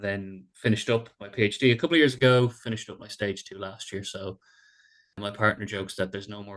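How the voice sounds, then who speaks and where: Spoken at a very fast pace in a Dublin accent, the speech has fairly even intonation but big swings in loudness. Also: man. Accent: Irish, Dublin. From Ireland, Dublin. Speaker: sport psychologist. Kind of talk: podcast interview. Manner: repeats words, filler-heavy.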